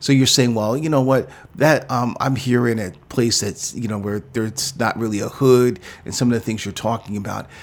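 A man with an American accent and an ordinary speaking voice, medium pitch, fairly even intonation and a fairly quick pace. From New York City. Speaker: pastor. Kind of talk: interview.

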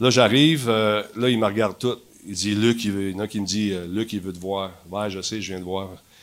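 The intonation stays fairly even. A man delivers it at a moderate pace. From Quebec, Montreal (LaSalle). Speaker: TV host and gaming personality. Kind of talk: casual chat. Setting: stage with audience.

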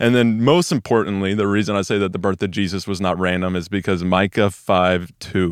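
A man with an American accent talks in a normal speaking voice at a fairly low pitch, moving at a fairly quick pace with hardly any pauses and fairly even intonation. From Texas, Weatherford/Peaster. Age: young. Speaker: church staff member, casual YouTuber. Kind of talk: devotional Bible teaching. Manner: casual, conversational.

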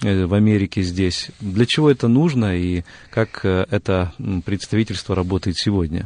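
A man speaks at a fairly slow pace and a fairly low pitch, an ordinary speaking voice with ordinary pitch variation. The sound is dry and close, with no echo. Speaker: radio host. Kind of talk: studio interview. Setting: radio studio. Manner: formal, polite.

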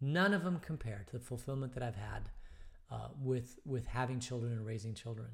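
At a fairly quick pace, a man with a somewhat breathy, medium-pitched voice talks with ordinary pitch variation. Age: 50s. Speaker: pastor leading bible study. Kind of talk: casual bible study talk. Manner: hesitant, many fillers.

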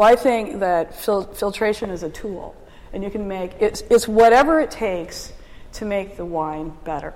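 This woman has an ordinary speaking voice and lively intonation. She talks at a fairly slow pace. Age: 50s. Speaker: winery owner and winemaker. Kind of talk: oral history interview.

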